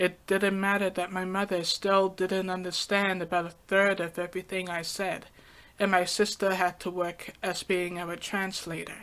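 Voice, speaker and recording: A woman with a medium pitch talks at a moderate pace, her intonation monotone and flat. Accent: slight British. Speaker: podcaster. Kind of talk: personal podcast monologue.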